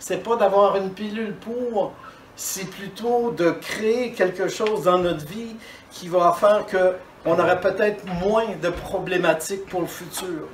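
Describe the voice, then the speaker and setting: A man with high pitch talks at a very slow pace with fairly even intonation and big swings in loudness, over noticeable background noise and audible room echo. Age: 60s. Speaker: dentist giving a talk. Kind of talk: conference talk. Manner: hesitant, with fillers and repetitions.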